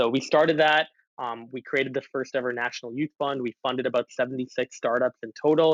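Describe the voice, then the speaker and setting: A man with a Canadian accent at a very fast pace, in a dry, close sound with no echo. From Canada, Calgary (early childhood in Asia). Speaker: young entrepreneur. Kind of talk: interview.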